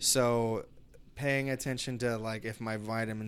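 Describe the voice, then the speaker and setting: An ordinary speaking voice from a man at medium pitch, with fairly even intonation, in a very clean recording with a silent background. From East Los Angeles, US. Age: 30s. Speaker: podcast guest. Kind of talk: casual chat.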